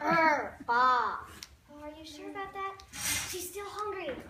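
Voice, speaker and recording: Someone uses a put-on character voice at a fairly slow pace, with a slight echo. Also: woman, extremely high pitch for a woman. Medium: stage play.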